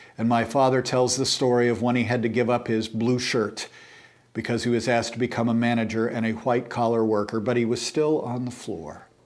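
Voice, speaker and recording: With audible room echo, a man at a medium pitch speaks at a fairly quick pace in a monotone, flat intonation. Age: 60s. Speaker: church teacher. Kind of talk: lecture.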